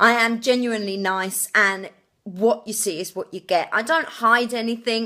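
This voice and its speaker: A woman with a slight Essex accent speaks in a bright, sharp tone at a fairly high pitch with ordinary pitch variation. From England, Essex. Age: 20s. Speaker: TV show applicant. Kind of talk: application video monologue. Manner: energetic, full on.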